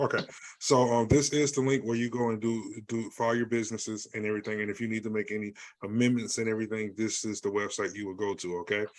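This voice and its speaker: At a very fast pace, a man of medium pitch speaks with fairly even intonation in a very clean recording with a silent background. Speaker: business consultant. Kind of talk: tutorial.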